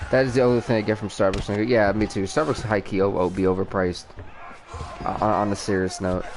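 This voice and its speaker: Speech at a very fast pace comes over noticeable background noise. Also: man, fairly low pitch for a man. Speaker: gaming streamer. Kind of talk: live game commentary. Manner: animated.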